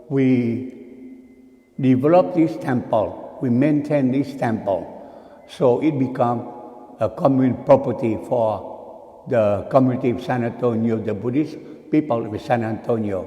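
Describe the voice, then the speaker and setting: Against noticeable background noise, a man with a medium pitch speaks at a fairly slow pace with ordinary pitch variation. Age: 80s+. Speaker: Buddhist monk. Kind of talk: dharma talk.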